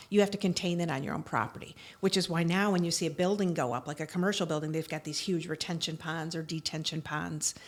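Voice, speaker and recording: A woman with an American accent, fairly low-pitched, very fast and with hardly any pauses, fairly even intonation, very clean recording, silent background. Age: 60s. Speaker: attorney. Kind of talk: interview conversation.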